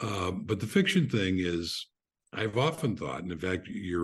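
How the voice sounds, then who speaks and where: Against a quiet background, a man talks at a fairly slow pace, his somewhat breathy voice very deep and low in pitch. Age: 70s. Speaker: author. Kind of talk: podcast interview. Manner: halting.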